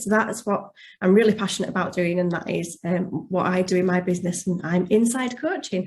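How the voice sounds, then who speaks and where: A somewhat breathy woman's voice at medium pitch, with a slight Yorkshire accent, fairly even intonation and a very fast pace. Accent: slight Yorkshire twang. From West Yorkshire, England. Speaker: life coach. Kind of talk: testimonial interview.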